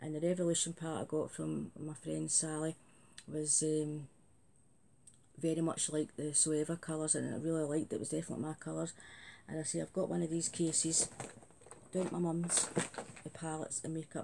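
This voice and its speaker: A woman with a Glasgow accent, very deep and low in pitch, dark and mellow in tone, monotone and flat, at a fairly quick pace with long, frequent pauses. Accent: Scottish (Glasgow). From Scotland, Glasgow area. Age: 50s. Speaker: beauty vlogger. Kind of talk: casual vlog chat. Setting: home video recording. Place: home room. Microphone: phone near.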